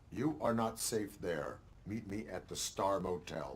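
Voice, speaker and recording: A man's put-on character voice, fairly low in pitch and fairly slow, with clear background noise. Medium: video game. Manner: flat, measured, clipped.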